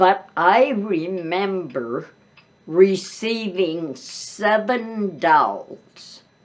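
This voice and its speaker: A woman with an American accent at a very slow pace, her intonation lively over noticeable background noise. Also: medium pitch for a woman. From US Midwest. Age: 90s. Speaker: grandmother telling life stories. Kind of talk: oral history interview. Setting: seated interview, boom mic.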